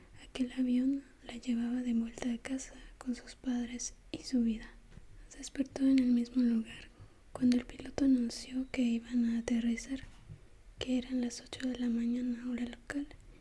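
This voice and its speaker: Soft-spoken delivery at a moderate pace. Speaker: ASMR creator. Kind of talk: read story.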